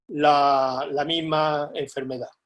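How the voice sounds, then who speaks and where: The speaker is a man with a fairly high pitch. He talks in a monotone, flat intonation. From Andalusia, Lucena (Córdoba). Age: 60s. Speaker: polio survivor. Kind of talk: testimony.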